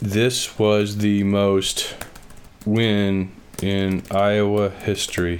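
Over noticeable background noise, a man with a fairly low pitch speaks at a very slow pace. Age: 40s. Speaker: sports podcast host. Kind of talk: sports analysis monologue. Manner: animated.

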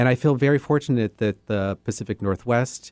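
A man with an American accent speaks at a moderate pace in an ordinary speaking voice. The recording is very clean with a silent background and a dry, close sound with no echo. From US Southwest, southern Arizona. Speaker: theater executive director. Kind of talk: radio interview. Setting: radio studio.

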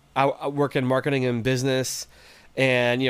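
On a very clean recording with a silent background, a man with an American accent and a normal speaking voice talks at a fairly quick pace and medium pitch. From West Virginia. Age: 30s. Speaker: musician. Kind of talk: casual chat.

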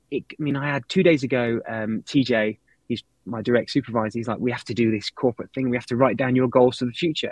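A man with a British accent, medium pitch, fairly even intonation and a very fast pace, in a dry, close sound with no echo. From Britain. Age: 40s. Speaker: watch brand director. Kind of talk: interview. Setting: office, live stream.

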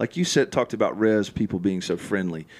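A man talks with a fairly low pitch. His pitch varies in an ordinary way. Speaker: pastor. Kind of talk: casual chat. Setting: studio.

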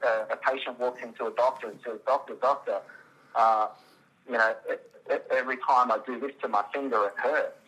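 Music plays in the background as a man with an Australian accent talks at a fairly quick pace. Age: 40s. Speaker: biologist, stem cell clinic owner. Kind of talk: interview. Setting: phone call.

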